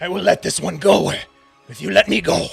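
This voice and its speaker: A put-on character voice from a man, high-pitched, raspy and gravelly, at a fairly quick pace over faint background music. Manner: barking.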